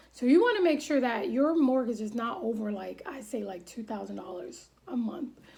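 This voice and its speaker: A woman's fairly high voice with lively intonation, hardly any pauses and big swings in loudness, over noticeable background noise. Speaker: vlogger giving home-buying advice. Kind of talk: tutorial. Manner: fast; forceful.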